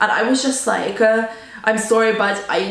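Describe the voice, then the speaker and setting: Fairly even intonation, with audible room echo and noticeable background noise. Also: woman. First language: Russian. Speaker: student vlogger. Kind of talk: casual storytelling vlog. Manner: casual, filler-heavy.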